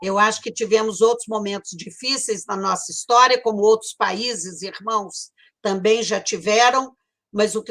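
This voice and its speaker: Heard in a very clean recording with a silent background, a woman speaks at a fairly slow pace with a bright, sharp tone and ordinary pitch variation. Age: 70s. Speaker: panel moderator, former university rector. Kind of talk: panel debate moderation.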